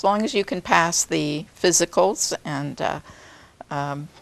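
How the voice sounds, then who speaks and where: Dry, close sound with no echo around a woman's voice. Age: 60s. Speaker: returned Peace Corps volunteer. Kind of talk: interview. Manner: halting.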